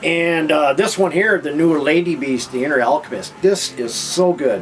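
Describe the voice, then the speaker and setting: Over noticeable background noise, a man speaks at a moderate pace in a fairly high pitch with ordinary pitch variation. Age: 60s. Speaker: vinyl record collector and video host. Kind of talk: casual monologue album review. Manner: casual, halting with frequent fillers.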